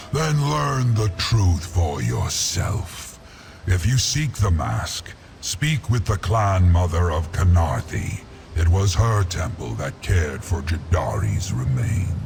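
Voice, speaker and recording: A man's put-on character voice, very deep and low in pitch, at a fairly slow pace over clear background noise. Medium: machinima. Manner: slow, disdainful, sighing.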